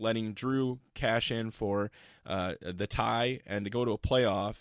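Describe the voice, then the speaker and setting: A man's plain, everyday voice with an American accent, fairly low in pitch, with fairly even intonation, on a very clean recording with a silent background. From Iowa. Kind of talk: casual chat.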